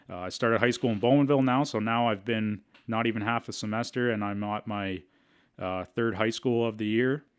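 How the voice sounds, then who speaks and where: With an Ontario accent, a man speaks at a fairly quick pace, a medium pitch and fairly even intonation. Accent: Canadian (Ontario). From Canada, Southern Ontario. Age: 20s. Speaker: podcast host. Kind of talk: casual monologue.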